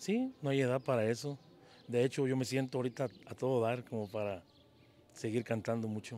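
Against light background noise, the speaker keeps a moderate pace and fairly even intonation, the sound dry with no echo. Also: man. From Mexico, Jalisco (La Barca); Jalisco, Mexico. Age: 50s. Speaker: singer and mechanic; interviewee. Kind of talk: interview. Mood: cheerful, smiling. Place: street. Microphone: handheld.

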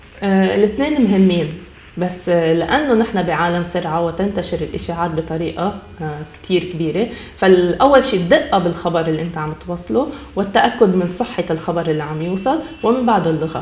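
In a Lebanese accent, a woman speaks with lively intonation amid audible room echo. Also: fairly low pitch for a woman, moderate pace. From Lebanon. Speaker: journalist. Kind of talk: TV interview. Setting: studio. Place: studio.

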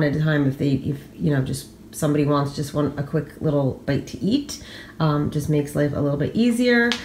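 A woman speaks over light background noise, with audible echo in the room. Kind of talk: casual vlog chat. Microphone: phone near.

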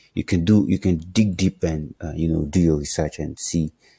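A man with a very deep, low pitch speaks at a moderate pace, his dark, mellow voice somewhat breathy. The recording is very clean, dry and close, with no echo and a silent background. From Nigeria. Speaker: crypto trading YouTuber. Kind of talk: casual explainer video. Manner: animated; filler-heavy, hesitant.

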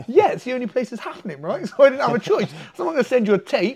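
A man speaks very fast in an English accent, his pitch swinging very widely. The background is quiet. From England. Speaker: MMA fighter and jiu-jitsu coach; jiu-jitsu coach. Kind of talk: casual storytelling interview. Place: gym. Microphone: lapel.

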